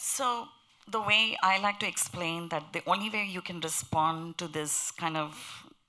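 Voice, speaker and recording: A woman speaks at a fairly slow pace in a strong Indian accent, her pitch fairly low. Her tone is bright and sharp. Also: ordinary pitch variation. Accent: heavy Indian. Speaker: panelist on interfaith pluralism. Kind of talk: panel discussion.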